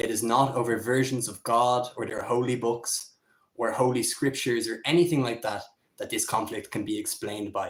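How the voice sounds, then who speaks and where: The pace is moderate. Pitch variation is ordinary. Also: man. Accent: Irish. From Ireland. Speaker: political commentator. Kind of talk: solo livestream commentary. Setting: home livestream on camera. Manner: casual, freestyle with fillers.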